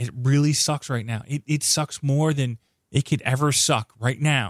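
A man talks at a fairly slow pace with fairly even intonation, recorded very cleanly against a silent background with a dry, close sound and no echo. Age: 30s. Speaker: podcast host. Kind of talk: casual chat.

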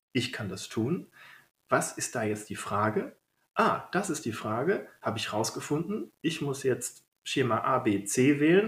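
In a very clean recording with a silent background, a man's somewhat breathy voice swings very widely in pitch. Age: 30s. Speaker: general practitioner and emergency doctor. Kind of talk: interview. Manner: hesitant fillers.

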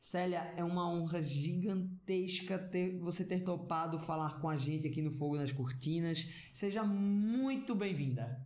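Audible room echo around a high male voice at a moderate pace. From Pernambuco, Brazil. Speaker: actor and podcast co-host. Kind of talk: interview.

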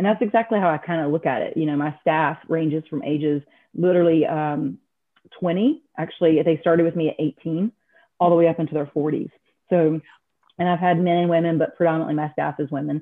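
In an unremarkable speaking voice, a woman with an American accent talks at a fairly quick pace, fairly low pitch and fairly even intonation. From North Carolina. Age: 50s. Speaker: gym franchise owner. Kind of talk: interview.

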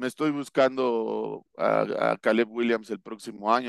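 The sound is dry and close, with no echo. A man speaks at medium pitch with fairly even intonation. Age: 40s. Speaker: American football coach. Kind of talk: casual interview analysis. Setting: video call. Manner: hesitant with fillers and repetitions.

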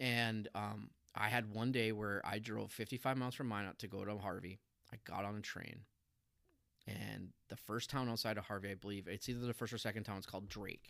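With an American accent and an unremarkable speaking voice, a man speaks at a fairly quick pace and fairly low pitch, with fairly even intonation. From US Midwest, North Dakota (Minot). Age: 40s. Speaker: church member, former railroad worker. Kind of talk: testimony.

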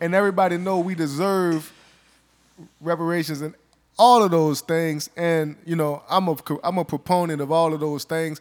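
A man with a high pitch speaks at a moderate pace in a flat monotone, on a very clean recording with a silent background. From US South, New Orleans. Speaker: podcast host. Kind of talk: casual chat.

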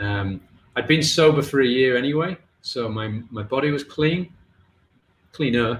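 At medium pitch and a moderate pace, a man speaks in a somewhat breathy voice with ordinary pitch variation. He leaves long pauses often. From England. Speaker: mental health writer and podcaster. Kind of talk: interview, personal testimony.

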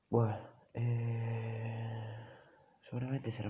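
A man speaks in a somewhat breathy voice. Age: 30s. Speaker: storyteller. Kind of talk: storytelling monologue. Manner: halting, with many fillers and repetitions.

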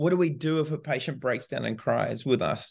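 A man with a New Zealand accent, ordinary pitch variation, and a moderate pace. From New Zealand, small town. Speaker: physiotherapy professor and clinician. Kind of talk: interview.

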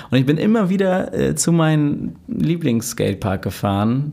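Very wide pitch swings mark the way this man speaks. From Hamburg (Lurup, born in Altona). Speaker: DJ and electronic music producer. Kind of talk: casual interview chat. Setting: podcast studio.

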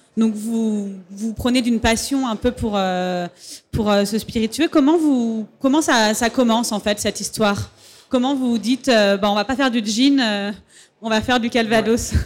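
In a very clean recording with a silent background, a woman with an unremarkable speaking voice talks at a moderate pace in a fairly high pitch with fairly even intonation. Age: 30s. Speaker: interviewer, festival moderator. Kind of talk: stage interview. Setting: festival stage with audience.

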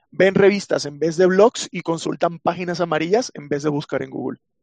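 A man speaks with a high pitch at a moderate pace. The sound is dry and close with no echo. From Venezuela. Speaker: chatbot developer. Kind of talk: casual interview chat.

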